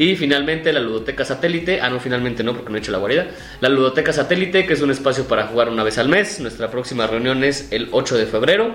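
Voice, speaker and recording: With a Mexican accent, the speaker races along at a very fast pace with hardly any pauses and lively intonation, over noticeable background noise. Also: man, medium pitch for a man. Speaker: podcast co-host. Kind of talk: casual chat.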